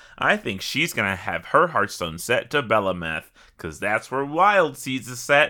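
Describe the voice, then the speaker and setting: Recorded very cleanly with a silent background, a man uses an animated tone, vocal fry and a medium pitch with very wide swings. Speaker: podcast host. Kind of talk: casual banter about a game. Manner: joking, animated.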